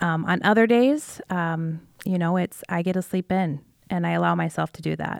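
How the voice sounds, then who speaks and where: A woman talks at a moderate pace with an American accent. The sound is dry and close, with no echo. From Iowa, US Midwest. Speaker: school leader and former athlete. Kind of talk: casual interview chat. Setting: studio.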